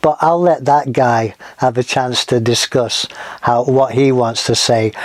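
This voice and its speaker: A man with an American accent speaks at a fairly slow pace, his intonation fairly even and his loudness very even. Noticeable background noise runs behind him. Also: medium pitch for a man. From northern England, Manchester. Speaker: podcast host. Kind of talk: casual podcast introduction. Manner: casual with frequent fillers.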